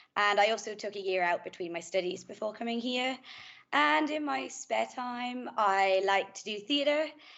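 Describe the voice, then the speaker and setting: A woman's medium-pitched voice with an Irish accent, lively intonation, and a moderate pace. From Ireland, Kildare. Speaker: master's student. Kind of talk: self-introduction on panel.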